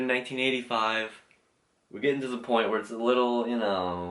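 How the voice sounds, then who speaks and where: Speaking at a fairly quick pace, a man has a normal speaking voice. His pitch is medium, with ordinary variation. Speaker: YouTuber reviewing logos. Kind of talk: casual commentary video.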